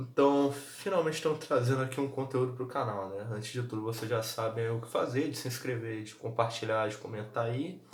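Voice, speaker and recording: A man speaks quietly at a fairly quick pace, with hardly any pauses, a medium pitch and ordinary pitch variation. Noticeable background noise and audible room echo come through. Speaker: football vlogger. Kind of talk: casual vlog commentary. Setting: at home. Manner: speaking quietly.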